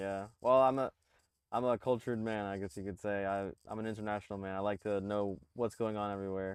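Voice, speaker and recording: Against a quiet background, a man's fairly low voice comes through with a dry, close sound and no echo. He speaks at a fairly quick pace with fairly even intonation. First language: Spanish. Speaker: show co-host. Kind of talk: casual chat. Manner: hesitant, many fillers.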